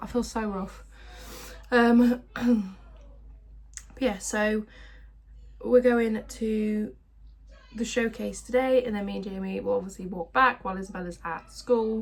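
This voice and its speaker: A woman with an English accent at a fairly high pitch, somewhat breathy, with fairly even intonation, a very slow pace and long, frequent pauses. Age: 20s. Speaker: vlogger. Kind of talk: casual chat.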